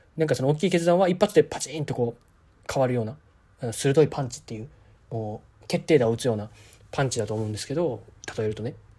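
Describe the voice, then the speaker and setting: A somewhat breathy male voice, medium-pitched with a dark, mellow tone, lively intonation, big swings in loudness, a very fast pace and long, frequent pauses. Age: 20s. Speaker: podcast host. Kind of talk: solo monologue. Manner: casual, hesitant with many fillers.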